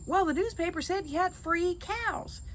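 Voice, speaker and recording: A squeaky, put-on character voice at a moderate pace over clear background noise. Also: woman, extremely high pitch for a woman. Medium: read story.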